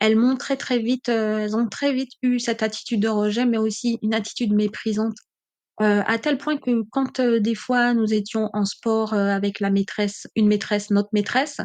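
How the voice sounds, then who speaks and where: Against a quiet background, a woman speaks with a monotone, flat intonation. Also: fairly high pitch for a woman, moderate pace, very even loudness. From French overseas islands (Caribbean), born in mainland France. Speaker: podcaster. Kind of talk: personal testimony. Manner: hesitant with many fillers.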